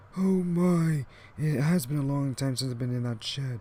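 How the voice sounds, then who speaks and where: This is a put-on character voice. It sits at a low-to-middle pitch and moves at a moderate pace. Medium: machinima.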